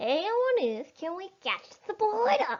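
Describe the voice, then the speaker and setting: A woman's squeaky, put-on character voice, extremely high-pitched with very wide pitch swings, at a fairly slow pace. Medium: read story. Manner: blustering, angry.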